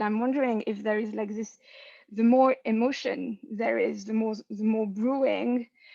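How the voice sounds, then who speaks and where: At a fairly slow pace, a woman speaks with a fairly high pitch and monotone, flat intonation. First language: not English. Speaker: anthropology student, audience questioner. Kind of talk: seminar Q&A question. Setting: video call. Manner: halting, many fillers.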